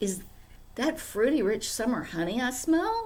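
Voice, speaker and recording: Over light background noise, a woman uses a put-on character voice with high pitch at a moderate pace. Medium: read story.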